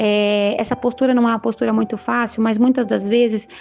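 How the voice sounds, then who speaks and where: This woman has a high-pitched voice and a fairly quick pace. Her intonation stays fairly even. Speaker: online preacher. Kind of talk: sermon. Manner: fast.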